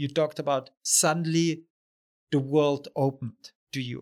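This man speaks with a German accent at a moderate pace and a fairly high pitch. His intonation is fairly even, and the sound is dry and close with no echo. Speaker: podcast host. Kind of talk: podcast interview. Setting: in-person recording.

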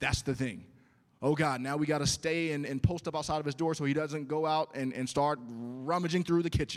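This man has an ordinary speaking voice, fairly high in pitch, talking at a fairly quick pace with fairly even intonation on a very clean recording with a silent background. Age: 40s. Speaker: pastor. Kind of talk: sermon. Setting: church.

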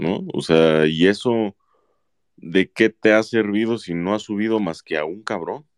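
Recorded dry and close with no echo over a quiet background, a man uses an ordinary speaking voice, talking at a fairly slow pace with a fairly low pitch and ordinary pitch variation. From Mexico, Autlán de la Grana, Jalisco. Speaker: football fan commentator. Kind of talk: casual chat.

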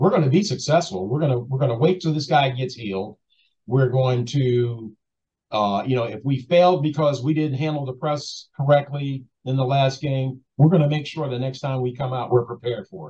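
Somewhat breathy, a man's voice has a dark, mellow tone. He keeps a moderate pace. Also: medium pitch for a man, ordinary pitch variation. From Baltimore, Maryland, US. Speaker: basketball assistant coach. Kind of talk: interview.

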